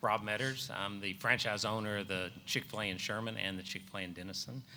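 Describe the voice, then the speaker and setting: A fairly low, bright and sharp male voice in a Texan accent, very fast, with fairly even intonation. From North Texas (Van Alstyne). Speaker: restaurant franchise owner. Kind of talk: panel discussion.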